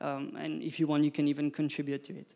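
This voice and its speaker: A man with a French accent speaks at a moderate pace in a dark, mellow tone at a fairly high pitch. The recording is very clean, with a silent background. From France. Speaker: conference speaker. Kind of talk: conference talk. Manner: halting.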